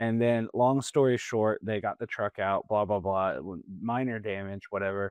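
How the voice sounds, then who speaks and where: A man with a slight Southern US accent, fairly low in pitch with ordinary pitch variation, dry and close with no echo, against a quiet background. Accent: slight Southern twang. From Plant City area, Florida. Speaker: podcast co-host. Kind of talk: casual chat.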